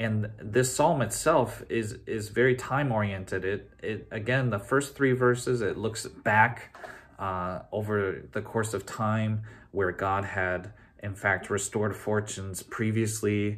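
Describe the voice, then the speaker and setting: Fairly even intonation accompanies a fairly slow pace of speech. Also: man, fairly low pitch for a man. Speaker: pastor. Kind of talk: sermon. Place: office. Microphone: phone near.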